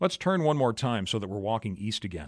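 A man with an Upper Midwest accent speaks at a fairly low pitch on a very clean recording with a silent background. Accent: Upper Midwest American. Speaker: podcaster and music blogger. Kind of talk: scripted narration.

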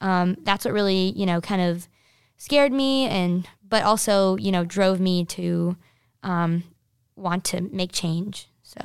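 A woman speaks at a fairly slow pace, her pitch medium with ordinary variation, in an unremarkable speaking voice. The recording is very clean, with a silent background. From New Jersey. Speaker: college student, social media founder. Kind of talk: interview. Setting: studio.

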